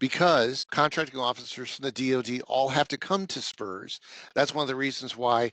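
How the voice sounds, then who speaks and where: A bright, sharp tone in an American accent, with a dry, close sound with no echo and a quiet background. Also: man. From US Northeast. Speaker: government program manager. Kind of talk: training webinar presentation. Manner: fast.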